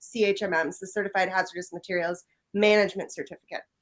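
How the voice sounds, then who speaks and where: A woman with a Midwestern US accent speaks at a fairly quick pace. The recording is very clean, with a silent background. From US Midwest. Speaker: professional association chair. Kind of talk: interview.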